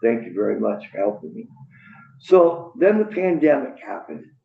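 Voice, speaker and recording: A man talks, with noticeable background noise behind him. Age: 60s. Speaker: public witness, Navy veteran. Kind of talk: public testimony. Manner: rambling, halting.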